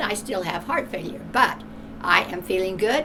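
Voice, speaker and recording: A woman's voice with noticeable background noise. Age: 80s+. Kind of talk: testimonial interview answer.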